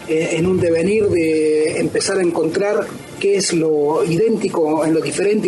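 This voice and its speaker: Moderate-paced male speech amid noticeable background noise and audible room echo. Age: 30s. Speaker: researcher of ancient myths. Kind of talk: radio interview. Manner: hesitant with many fillers.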